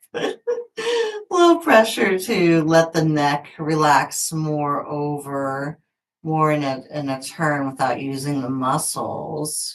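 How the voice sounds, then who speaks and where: A woman's put-on character voice, strained and very deep and low, at a very slow pace with fairly even intonation. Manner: strained, effortful.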